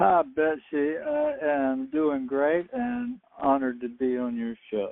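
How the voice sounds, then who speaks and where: Speaking at a very slow pace with hardly any pauses, a man with a Southern US accent uses a fairly high pitch and lively intonation. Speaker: UFO experiencer and author. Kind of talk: radio interview.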